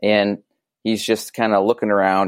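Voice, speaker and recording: Recorded very cleanly with a silent background, a man speaks at a moderate pace in a dry, close sound with no echo. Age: 30s. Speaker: podcast guest. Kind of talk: casual chat. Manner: halting.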